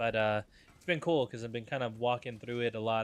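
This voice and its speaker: A man's medium-pitched voice over background music. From Mexican heritage. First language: Spanish. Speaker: gaming streamer. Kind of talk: live gameplay stream chat. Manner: halting.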